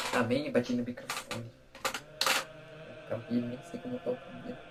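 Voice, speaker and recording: Music plays in the background as a man talks in an animated tone with very wide pitch swings. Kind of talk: gospel reading and reflection. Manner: informal, animated.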